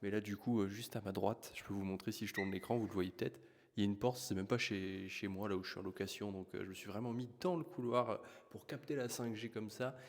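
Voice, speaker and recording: A soft-spoken man talks at a very fast pace. His pitch is fairly low, with ordinary variation. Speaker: YouTube trends commentator. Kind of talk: casual vlog commentary. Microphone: poor sound quality.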